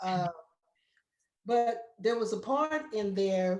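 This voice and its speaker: A woman's very slow speech. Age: 60s. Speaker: painter and muralist, artist in residence. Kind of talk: artist talk, personal testimony. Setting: virtual event. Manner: emotional, repetitive.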